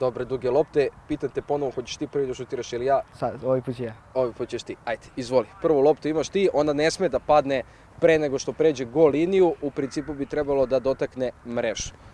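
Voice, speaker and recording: Speaking at a very fast pace with hardly any pauses, a man keeps a fairly even intonation in a dry sound with no echo. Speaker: host of a football challenge video. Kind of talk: casual host chat and commentary. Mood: playful, joking. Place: open country. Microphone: handheld.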